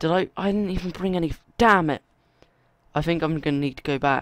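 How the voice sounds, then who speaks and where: The voice shows ordinary pitch variation on a very clean recording with a silent background. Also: man. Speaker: gaming youtuber. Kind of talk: gameplay commentary. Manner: hesitant.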